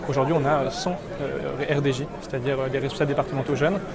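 Crowd noise in the background and audible room echo surround a man speaking in a fairly high pitch with fairly even intonation. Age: 20s. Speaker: youth political movement leader. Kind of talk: interview.

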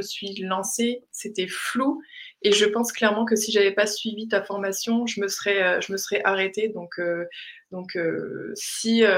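This woman talks at a fairly slow pace, her medium-pitched voice keeping a fairly even intonation. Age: 30s. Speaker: graphic designer and illustrator. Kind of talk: interview testimony. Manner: halting, many repetitions and fillers.

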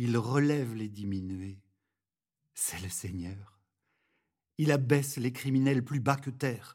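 A man's medium-pitched, calm voice at a very slow pace, with long, frequent pauses, ordinary pitch variation and big swings in loudness, on a very clean recording with a silent background. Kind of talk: guided meditation and prayer. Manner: calm, slow, reverent.

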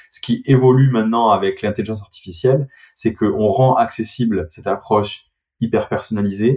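This speaker has a southern French accent and a somewhat breathy sound. The pace is fairly quick, with ordinary pitch variation. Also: man. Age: 30s. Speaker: startup CEO. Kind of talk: interview. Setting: remote call.

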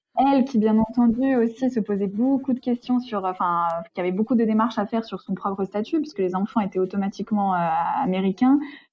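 Somewhat breathy and fairly quick, a woman speaks at a fairly high pitch. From France. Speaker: interviewee, sister of expatriate. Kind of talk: interview.

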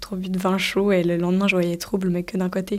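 Her voice sits at a medium pitch. The woman's intonation stays monotone and flat. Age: 20s. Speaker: person living with multiple sclerosis. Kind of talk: personal testimony interview.

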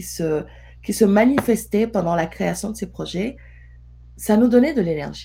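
A woman is talking. Her pace is fairly slow. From Senegal. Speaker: entrepreneur. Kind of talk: interview conversation.

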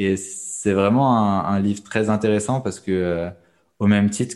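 On a very clean recording with a silent background, a man speaks fairly slowly at a fairly low pitch with a dark, mellow tone. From southern France (countryside). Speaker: entrepreneur. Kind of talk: interview. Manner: halting.

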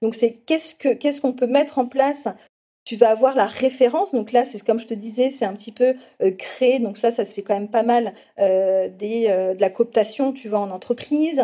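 Speaking at a moderate pace, a woman has a fairly high pitch, a dark, mellow tone, ordinary pitch variation and big swings in loudness. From southwest France, small village. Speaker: HR recruitment expert and influencer. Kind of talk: interview.

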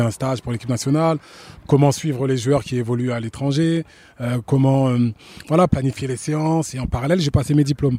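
A fairly quick-paced man's voice at medium pitch, dark and mellow in tone, with fairly even intonation and a dry, close sound with no echo. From France. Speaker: football coach and former player. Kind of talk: interview.

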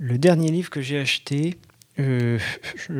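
Here a man speaks at a fairly slow pace, medium in pitch, with ordinary pitch variation. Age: 30s. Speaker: art director sharing reading habits in listener segment. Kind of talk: casual personal testimony.

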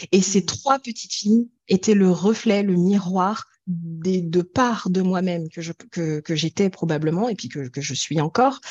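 In a normal speaking voice, a woman talks at a fairly slow pace with hardly any pauses, her medium pitch varying in an ordinary way and her loudness swinging widely, all in a dry, close sound with no echo. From France. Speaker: singing therapist and singer. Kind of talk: interview.

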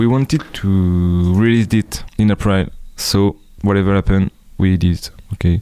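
A fairly low male voice in a French accent, dark and mellow, with very even loudness, fairly even intonation and a moderate pace. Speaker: musician. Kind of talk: interview.

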